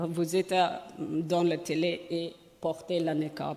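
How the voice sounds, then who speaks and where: This woman talks very slowly while noticeable background noise carries on behind her. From Afghanistan. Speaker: journalist and women's rights activist. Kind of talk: speech. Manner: halting, searching for words.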